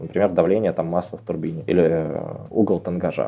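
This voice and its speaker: Talking at a fairly quick pace, a man with an ordinary speaking voice shows ordinary pitch variation. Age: 20s. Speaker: head of analytics at a tech company. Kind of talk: interview.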